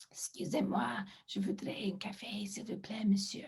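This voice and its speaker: A croaky, put-on character voice that sounds female, at medium pitch and a moderate pace. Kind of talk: polite, pleading.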